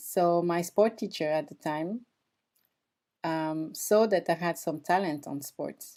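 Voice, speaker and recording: A woman speaks very slowly in a strong French accent, her pitch fairly low with ordinary variation. The recording is very clean, with a silent background. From France (moved from Equatorial Guinea at age three). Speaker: former Olympic athlete and performance coach. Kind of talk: podcast interview.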